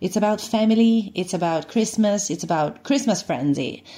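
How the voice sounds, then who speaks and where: Dark, mellow tones from a woman over a quiet background. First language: Italian (speaking Dutch). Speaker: actress. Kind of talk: promotional interview.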